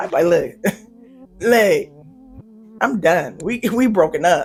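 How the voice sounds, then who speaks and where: Amid noticeable background noise, a woman with fairly high pitch speaks in an animated tone at a fairly slow pace. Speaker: YouTuber reviewing reality TV. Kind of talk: casual commentary review.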